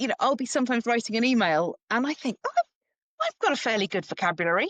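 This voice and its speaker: A woman talks at a very fast pace, her high pitch moving in very wide swings. The sound is dry and close, with no echo. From England. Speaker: perimenopause educator. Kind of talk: interview.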